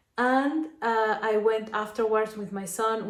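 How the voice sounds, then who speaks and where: A woman speaks with a Spanish accent at a fairly slow pace. Her intonation stays fairly even. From Peru. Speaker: crochet vlogger. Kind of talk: casual vlog. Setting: selfie camera. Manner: hesitant, with fillers.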